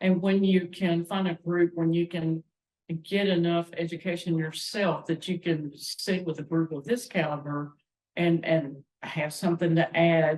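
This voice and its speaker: With a Southern US accent, a woman talks at a fairly slow pace in a fairly low pitch and fairly even intonation. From North Carolina. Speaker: music teacher and choir member. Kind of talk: casual chat.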